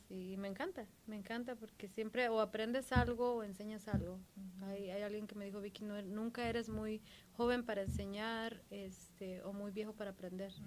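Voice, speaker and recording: A woman speaks at a medium pitch and a moderate pace, her intonation monotone and flat. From Mexico, Michoacán. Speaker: podcast co-host. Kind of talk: casual chat.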